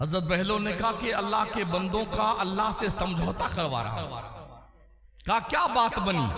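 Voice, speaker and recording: Raising and projecting his high-pitched voice with lively intonation, a man speaks through noticeable background noise and audible room echo. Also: moderate pace. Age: 60s. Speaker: Islamic preacher. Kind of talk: sermon. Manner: animated.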